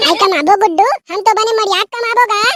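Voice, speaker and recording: Using a cartoonish character voice, a woman speaks at an extremely high pitch and a fairly quick pace with ordinary pitch variation. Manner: folksy, talkative.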